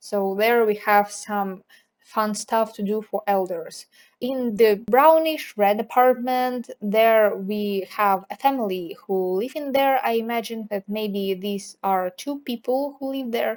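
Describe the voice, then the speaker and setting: Very slow speech from a woman with a non-native accent, fairly high in pitch with ordinary pitch variation, in a very clean recording against a silent background. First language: not English. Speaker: video game builder YouTuber. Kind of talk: casual gameplay commentary.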